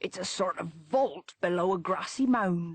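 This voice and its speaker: A woman puts on a raspy character voice at a medium pitch, speaking at a moderate pace with ordinary pitch variation. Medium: read story. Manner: firm.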